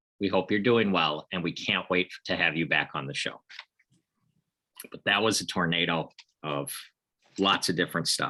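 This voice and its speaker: A man with a Midwestern accent speaks in a very deep, low pitch with a bright, sharp tone and ordinary pitch variation. His moderate pace is broken by long, frequent pauses. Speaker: podcast host. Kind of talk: casual chat.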